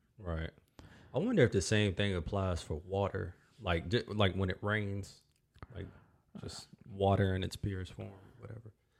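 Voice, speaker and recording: This man has a fairly low voice with an American accent and ordinary pitch variation. He moves at a moderate pace, with long, frequent pauses and big swings in loudness. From North Carolina. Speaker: podcast host and musician.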